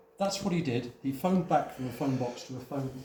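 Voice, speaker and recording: Lively intonation carries this moderately paced speech, heard over noticeable background noise. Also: man. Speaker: museum volunteer guide. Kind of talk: live guided talk to visitors. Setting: indoor hall with audience.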